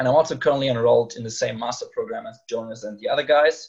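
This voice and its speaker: This man talks at a fairly quick pace. He has a German accent. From Germany, Rhine near Cologne. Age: 20s. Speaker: master's student. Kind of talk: casual interview. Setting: video call.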